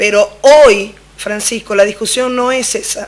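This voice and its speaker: A woman speaks with a Venezuelan accent. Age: 40s. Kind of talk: debate on radio.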